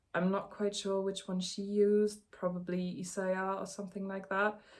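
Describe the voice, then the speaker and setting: A woman with a non-native accent speaks at a medium pitch in a flat, monotone way. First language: not English. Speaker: knitting youtuber. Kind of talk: casual vlog chat. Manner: halting, many fillers.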